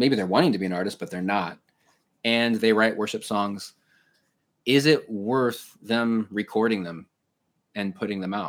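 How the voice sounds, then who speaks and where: The delivery moves at a moderate pace with ordinary pitch variation. Long pauses come often. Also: man, fairly low pitch for a man. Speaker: podcast host. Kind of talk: casual interview. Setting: video call.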